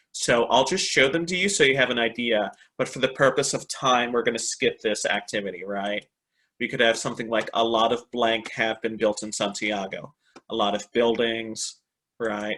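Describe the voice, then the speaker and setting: A man speaks in an American accent at a moderate pace. His tone is bright and sharp. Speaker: English teacher trainer, webinar presenter. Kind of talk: online teaching webinar. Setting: online webinar. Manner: animated.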